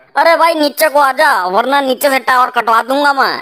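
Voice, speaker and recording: A cartoonish character voice speaks at a moderate pace. The pitch varies in an ordinary way. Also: woman, high pitch for a woman. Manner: gruff, blunt.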